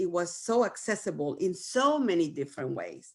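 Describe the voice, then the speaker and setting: Speaking in a Spanish accent at a moderate pace, a woman uses a medium pitch. The recording is very clean, with a silent background. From Venezuela, Caracas. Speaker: community leader. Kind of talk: panel interview.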